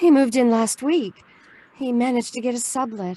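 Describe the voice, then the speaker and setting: Someone performs a put-on character voice that sounds shaky. The pace is fairly quick, with ordinary pitch variation. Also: woman. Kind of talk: audio drama dialogue. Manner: trembling.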